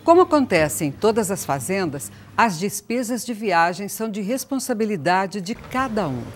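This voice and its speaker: Using vocal fry, a woman speaks at a moderate pace with very wide pitch swings. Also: medium pitch for a woman. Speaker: video narrator. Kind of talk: scripted narration.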